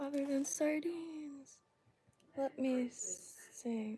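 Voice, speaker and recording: A soft-spoken woman talks with an American accent. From Florida. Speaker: fly tier streamer. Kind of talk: casual livestream tutorial.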